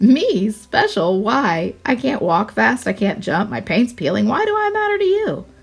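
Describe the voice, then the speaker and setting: Putting on a character voice, a woman talks at a moderate pace with hardly any pauses. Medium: read story.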